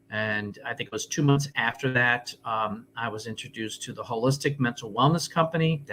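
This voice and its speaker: A man's medium-pitched voice with ordinary pitch variation, big swings in loudness and hardly any pauses. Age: 60s. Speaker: health and wellness coach. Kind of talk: interview. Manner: hesitant with fillers.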